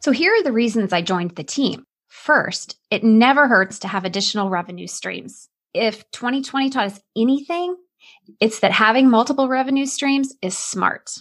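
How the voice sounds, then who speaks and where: At a moderate pace, a woman with an American accent speaks in a fairly high pitch with lively intonation, in a very clean recording with a silent background. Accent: Northeastern US with Southern Illinois roots. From Southern Illinois. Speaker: podcast host and business coach. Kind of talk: casual interview chat.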